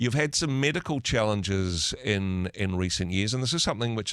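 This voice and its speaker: In a very clean recording with a silent background, a man with a normal speaking voice talks at a fairly low pitch with lively intonation. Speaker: radio host. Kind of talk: radio interview questions.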